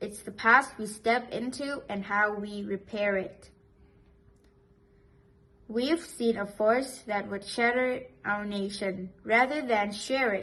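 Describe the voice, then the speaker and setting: Very slowly, a woman with a non-native accent speaks at a fairly high pitch in a bright, sharp tone with fairly even intonation. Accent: non-native English, minor pronunciation slips. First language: not English. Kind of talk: poetry reading.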